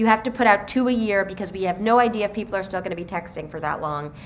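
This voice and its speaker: A woman speaks very fast at a medium pitch with ordinary pitch variation. Background noise is noticeable. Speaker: children's book author. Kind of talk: author talk to school students. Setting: school presentation with student audience.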